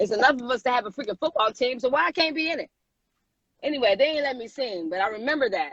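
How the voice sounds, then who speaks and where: In a dry, close sound with no echo, a woman with an American accent talks at a very fast pace in a high pitch, with lively intonation and an animated tone. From Michigan (Muskegon). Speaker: singer. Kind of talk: interview. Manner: casual, animated.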